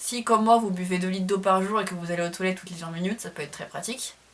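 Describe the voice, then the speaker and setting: A woman rattles along at a very fast pace in a monotone, flat intonation against noticeable background noise. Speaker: classics student and video creator. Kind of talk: casual tutorial vlog. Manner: somewhat halting, hesitant.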